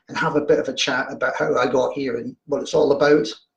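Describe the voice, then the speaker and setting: This is a man's voice. He speaks with a Glaswegian accent. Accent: Glaswegian Scottish. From Scotland, Glasgow. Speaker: horror fiction writer. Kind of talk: casual livestream chat. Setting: home livestream, video. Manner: hesitant, repeats words.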